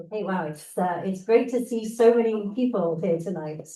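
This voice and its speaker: A woman with a British accent speaks in a dark, mellow, somewhat breathy tone with lively intonation. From United Kingdom. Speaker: scientist and guest speaker. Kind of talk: presentation to a club meeting.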